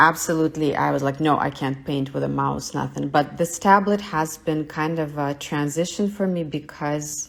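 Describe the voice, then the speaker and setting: In a Russian accent, a woman speaks at a very deep, low pitch with fairly even intonation. She keeps a moderate pace with hardly any pauses. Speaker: artist. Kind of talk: live studio tour. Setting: livestream from home studio.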